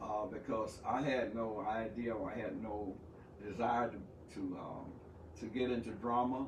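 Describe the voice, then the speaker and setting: Noticeable background noise sits behind the speech. The delivery is fairly slow with fairly even intonation. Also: man. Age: 70s. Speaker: pastor, combat veteran, playwright and actor. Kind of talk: interview answer.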